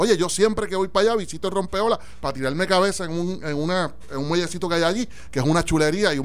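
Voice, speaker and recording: A man with a Puerto Rican accent, high-pitched for a man, very fast, with ordinary pitch variation and audible room echo. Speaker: radio talk show host. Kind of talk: casual political discussion.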